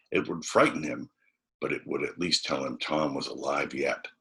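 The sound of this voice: With an extremely low pitch, a man speaks in a bright, sharp tone that has a husky, rough edge and vocal fry. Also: ordinary pitch variation, moderate pace.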